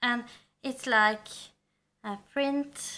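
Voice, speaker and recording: Bright and sharp in tone, the voice moves at a very slow pace with monotone, flat intonation. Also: woman. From Norway. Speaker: book vlogger. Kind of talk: casual book review vlog. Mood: warm, enthusiastic. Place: home room.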